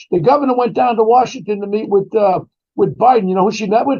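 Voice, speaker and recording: In a New York accent, a man speaks with a high pitch, lively intonation and an animated tone. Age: 70s. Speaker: former police detective. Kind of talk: interview commentary.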